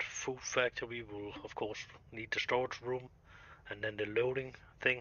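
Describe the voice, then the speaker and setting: Speaking at a moderate pace, a man with a non-native accent keeps a medium pitch and a monotone, flat intonation. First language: Danish. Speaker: video game streamer. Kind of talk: live gameplay commentary. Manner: halting.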